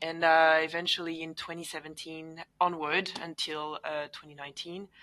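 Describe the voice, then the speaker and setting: In a French accent, the speaker has a bright, sharp tone and a monotone, flat delivery, with big swings in loudness over a quiet background. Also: woman, fairly low pitch for a woman, moderate pace. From France, Paris suburbs. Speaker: engineer and roller derby athlete. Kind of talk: interview conversation.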